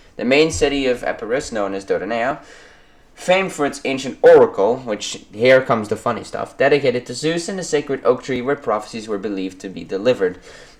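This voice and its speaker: Loudness swings widely as the speaker rushes at a very fast pace through noticeable background noise. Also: man, medium pitch for a man. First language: not English. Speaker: history YouTuber. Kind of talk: educational narration. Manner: halting, many fillers.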